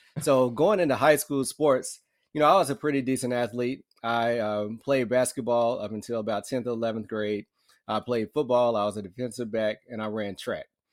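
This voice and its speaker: A man with an American accent and an unremarkable speaking voice talks at a fairly quick pace. The recording is very clean and the background silent. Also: medium pitch for a man, ordinary pitch variation. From US South, northern Alabama. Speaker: orthopedic surgeon. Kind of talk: interview.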